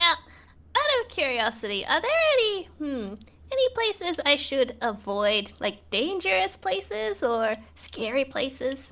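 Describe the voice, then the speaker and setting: A put-on character voice sounds female and high in pitch. It moves at a moderate pace. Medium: actual play. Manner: enthusiastic.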